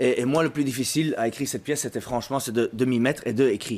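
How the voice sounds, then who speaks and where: Talking at a very fast pace with a strong Brussels accent, a man uses a medium pitch with ordinary pitch variation. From Brussels, Belgium. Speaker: actor and playwright. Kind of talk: interview.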